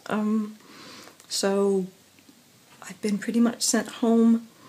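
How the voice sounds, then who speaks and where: Very slowly, a woman speaks with fairly even intonation. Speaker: professional singer. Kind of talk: casual video diary talk to camera. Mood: subdued, reflective. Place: home room. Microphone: phone near.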